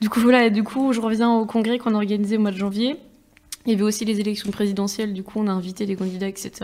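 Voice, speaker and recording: A woman's fairly high voice at a very fast pace in a monotone, flat intonation, over noticeable background noise. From Niort, France. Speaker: student activist. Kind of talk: casual chat.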